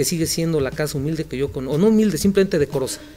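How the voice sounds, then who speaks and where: With ordinary pitch variation, a man's high voice rises over noticeable background noise. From Michoacán, Mexico (Morelia). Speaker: physician. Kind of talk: casual interview. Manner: halting.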